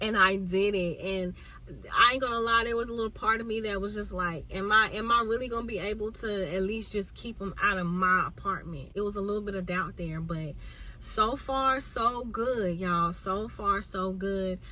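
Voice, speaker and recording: A woman with fairly even intonation, plus audible room echo and noticeable background noise. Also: medium pitch for a woman, moderate pace. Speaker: vlogger. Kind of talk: casual chat.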